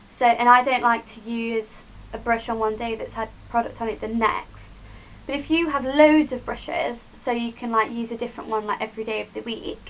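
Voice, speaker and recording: A woman with a British accent, fairly high in pitch, at a fairly quick pace. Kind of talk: casual talk to camera. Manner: chatty, upbeat.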